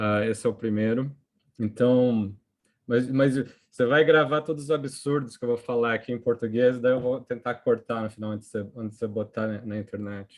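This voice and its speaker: The man's voice is medium in pitch, with fairly even intonation. He speaks at a moderate pace against a quiet background. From Brazil, São Paulo. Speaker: economics professor. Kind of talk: academic seminar presentation. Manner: halting, many fillers and restarts.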